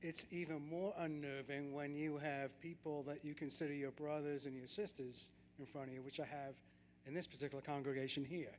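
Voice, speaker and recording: Speaking at a fairly quick pace, a man uses a fairly high voice. His intonation is monotone and flat. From Great Britain. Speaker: lay church member giving testimony. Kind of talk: testimony. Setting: church service. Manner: hesitant, many fillers.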